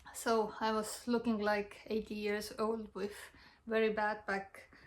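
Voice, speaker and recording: Speaking at a very slow pace, a woman with an Estonian accent uses a fairly high pitch. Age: young. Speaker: health vlogger. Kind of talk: personal testimony. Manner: halting.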